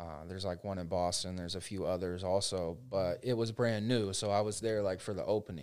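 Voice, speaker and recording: With a plain, everyday voice, a man of fairly low pitch speaks at a fairly quick pace with fairly even intonation and hardly any pauses. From Central Florida. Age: 20s. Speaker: real estate agent. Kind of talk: casual interview.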